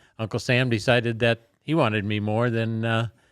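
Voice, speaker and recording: In a very clean recording with a silent background, a man with an Upper Midwest accent talks at a fairly slow pace, his medium-pitched voice keeping a fairly even intonation. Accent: Upper Midwest American. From South Dakota, Sioux Falls. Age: 70s. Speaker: war veteran. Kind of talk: interview. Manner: halting, many fillers.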